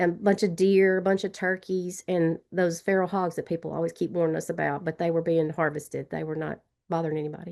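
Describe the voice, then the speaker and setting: Southern US accent with hardly any pauses, set against a quiet background. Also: woman, fairly low pitch for a woman. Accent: Southern drawl. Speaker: trail advocate. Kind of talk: webinar panel discussion. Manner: fast; animated.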